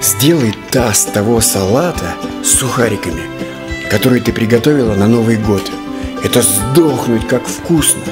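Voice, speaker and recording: Clear music plays in the background as the speaker goes at a fairly slow pace with long, frequent pauses. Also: man. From Estonia. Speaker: actor and rock vocalist. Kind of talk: comedy sketch dialogue. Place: home room. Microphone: lapel.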